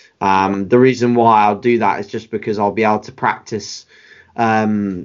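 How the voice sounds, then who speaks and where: With a British accent, a man speaks at a fairly slow pace and with fairly even intonation. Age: 20s. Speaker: bodybuilding coach and competitor. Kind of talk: casual interview chat.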